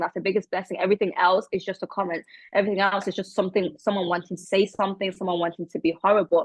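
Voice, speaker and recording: A woman with a British accent speaks at a medium pitch in a monotone, flat intonation. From England. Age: 20s. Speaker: model and charity founder. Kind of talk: interview. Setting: video call.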